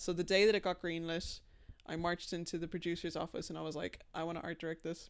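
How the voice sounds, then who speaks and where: A woman with an American accent speaks very fast in a fairly low voice, monotone with flat intonation. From Dublin, Ireland. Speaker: designer and illustrator. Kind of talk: casual chat. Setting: studio.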